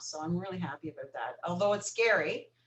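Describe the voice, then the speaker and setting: Noticeable background noise runs behind a woman's voice. She speaks at fairly low pitch with lively intonation. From Newfoundland, Canada. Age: 50s. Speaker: recovering alcoholic. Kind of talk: podcast interview.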